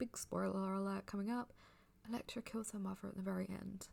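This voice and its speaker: A woman speaks softly. Her pace is moderate. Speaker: ASMR audio creator. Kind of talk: casual book review. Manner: sleepy, soft-spoken.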